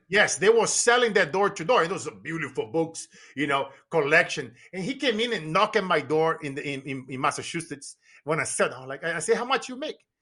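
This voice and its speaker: A man speaks high and fairly quickly with a Brazilian Portuguese accent, his tone bright, sharp and animated. His pitch swings very widely and his loudness shifts greatly. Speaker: business coach and motivational speaker. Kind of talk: podcast interview.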